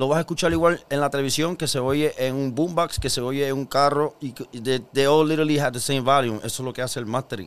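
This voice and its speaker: A man with a plain, everyday voice speaks at a fairly quick pace, keeping a fairly high pitch and fairly even intonation. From Puerto Rico, Carolina. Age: 40s. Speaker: musician. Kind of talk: casual interview chat.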